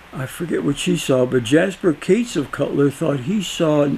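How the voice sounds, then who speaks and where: Noticeable background noise behind a man's lively intonation. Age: 80s+. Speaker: local historian. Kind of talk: interview. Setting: at his house. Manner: halting.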